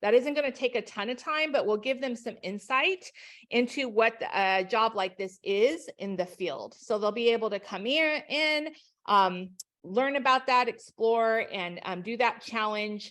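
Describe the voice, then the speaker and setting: The background is quiet as a woman uses a normal speaking voice at a fairly slow pace. Her intonation is lively. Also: fairly high pitch for a woman. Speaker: education company trainer. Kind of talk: webinar presentation.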